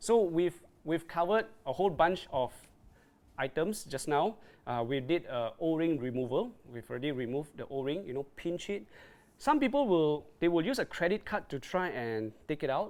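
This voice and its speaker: Very wide pitch swings from a man at a moderate pace, on a very clean recording with a silent background. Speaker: dive gear presenter. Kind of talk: live stream tutorial. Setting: Facebook live stream. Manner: hesitant, filler-heavy.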